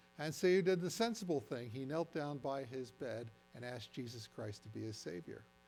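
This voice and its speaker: Music plays behind a man speaking with an American accent. His pitch swings very widely as he talks at a fairly quick pace. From New Jersey. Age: 70s. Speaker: retired science teacher, science presenter. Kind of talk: science presentation to audience. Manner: conversational, interactive.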